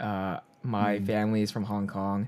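This man has a plain, everyday voice, fairly low in pitch, with an American accent. He talks at a moderate pace. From Chinese American, US. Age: 20s. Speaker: podcast co-host. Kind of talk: casual chat.

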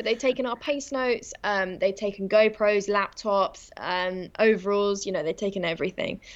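In a southern English accent, a woman talks at a moderate pace and medium pitch with ordinary pitch variation and hardly any pauses against a quiet background. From England. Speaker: rally driver. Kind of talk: interview. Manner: hesitant, frequent um fillers.

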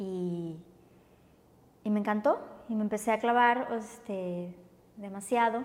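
A woman with a Mexican accent, fairly high-pitched, at a fairly slow pace with long, frequent pauses and ordinary pitch variation. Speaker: yoga teacher. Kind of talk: casual interview.

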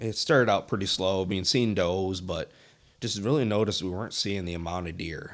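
A man's fairly low voice at a moderate pace, with ordinary pitch variation, an unremarkable speaking voice, and a very clean recording with a silent background. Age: 20s. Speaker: deer hunter. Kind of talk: casual chat.

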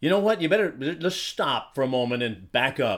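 A man's normal speaking voice, fairly high-pitched with lively intonation, on a very clean recording with a silent background. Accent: American. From Arizona. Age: 60s. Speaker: political commentary podcaster, preacher-style host. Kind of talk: political monologue.

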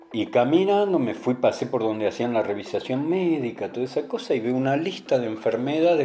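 A man talks at a fairly quick pace in a medium pitch. Noticeable background noise runs behind him. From Argentina, southern Santa Fe (Villa Constitución). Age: 50s. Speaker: oral history interviewee. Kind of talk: personal testimony. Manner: casual conversational.

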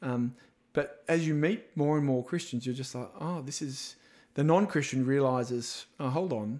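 A man talks with an Australian accent at a fairly high pitch. His pace is moderate and his pitch variation ordinary. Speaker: evangelism minister. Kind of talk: casual interview chat. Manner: animated, jokey.

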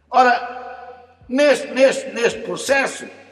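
There is noticeable background noise behind this man. His pitch varies in an ordinary way. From Portugal, Lisbon district. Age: 70s. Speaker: retired professor. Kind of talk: autobiographical narrative. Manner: halting, repeats words.

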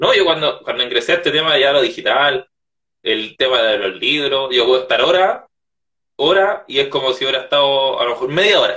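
A man at a fairly quick pace, his loudness very even throughout. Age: 20s. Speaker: author. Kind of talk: interview.

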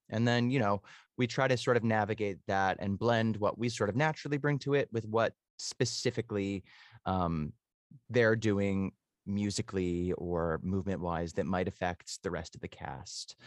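A man speaks in a plain, everyday voice, fairly low in pitch, at a moderate pace with ordinary pitch variation. The sound is dry and close with no echo, over a quiet background. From Canada, Toronto. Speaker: musical theatre actor. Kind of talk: interview.

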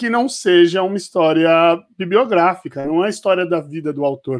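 Here a man talks at a fairly quick pace with lively intonation. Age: 30s. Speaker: podcast host. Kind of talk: casual interview.

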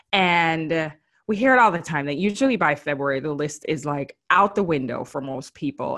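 A woman with a fairly low pitch and a bright, sharp tone speaks with lively intonation over a quiet background. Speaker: style and beauty expert, podcast host. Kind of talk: casual solo podcast talk with tips. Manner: animated, chatty.

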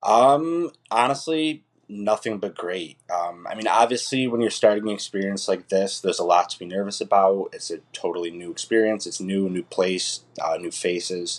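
Talking at a moderate pace with an unremarkable speaking voice, a man with an American accent uses a fairly low pitch, lively intonation and big swings in loudness. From upstate New York (Utica). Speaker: ICU travel nurse. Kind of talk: casual interview.

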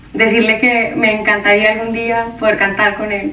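With noticeable background noise and audible room echo, a woman talks at a fairly slow pace and a medium pitch. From Colombia. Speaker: band singer. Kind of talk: recorded video tribute message.

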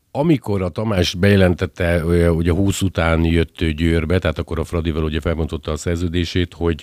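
A man with a very deep, low pitch and a dark, mellow tone speaks at a very fast pace. His intonation is fairly even, and the sound is dry and close with no echo. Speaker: podcast host. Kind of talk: casual interview. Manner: chatty, jokey.

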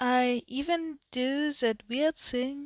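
With a German accent and ordinary pitch variation, a woman comes through in a very clean recording with a silent background and a dry, close sound with no echo. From Germany. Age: 20s. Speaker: podcast host, media designer. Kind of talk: solo podcast introduction. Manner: hesitant, many fillers.

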